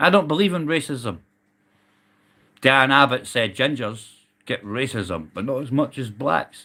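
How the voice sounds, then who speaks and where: A loud man with a Scottish accent, vocal fry, a bright, sharp, animated tone, a fairly slow pace and long, frequent pauses. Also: medium pitch for a man. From Scotland. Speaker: livestreamer, army veteran. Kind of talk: casual live stream rant.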